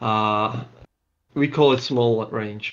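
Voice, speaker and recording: A man of medium pitch with a non-native accent, very slow pace, and a quiet background. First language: not English. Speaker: game tournament co-caster. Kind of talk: live commentary.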